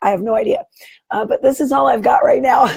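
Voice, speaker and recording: A croaky woman's voice. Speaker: online business coach. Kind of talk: live stream talk to viewers. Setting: Facebook live video. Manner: croaking, straining to speak.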